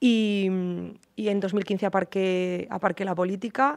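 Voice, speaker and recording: A woman speaks in an unremarkable speaking voice at a fairly slow pace, with fairly even intonation over a quiet background. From Spain, Cuenca (Castilla-La Mancha); Castilla-La Mancha. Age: 30s. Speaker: politician. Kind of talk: interview. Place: studio. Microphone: studio mic.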